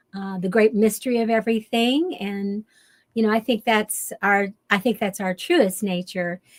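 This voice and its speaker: Recorded very cleanly against a silent background with a dry, close sound and no echo, a woman talks at a fairly high pitch and a moderate pace with ordinary pitch variation. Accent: Kentucky. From US South, western Kentucky. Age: 70s. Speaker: shamanic teacher and author. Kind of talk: interview. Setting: radio show.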